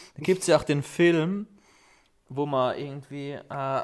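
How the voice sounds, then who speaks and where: A man with a normal speaking voice, ordinary pitch variation and a fairly slow pace. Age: 20s. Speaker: podcast co-host. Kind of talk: casual chat.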